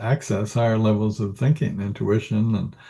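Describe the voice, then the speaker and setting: A man's somewhat breathy, dark and mellow voice at medium pitch, with an American accent, against a quiet background. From US Northwest. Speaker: executive coach, Marine veteran. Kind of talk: interview.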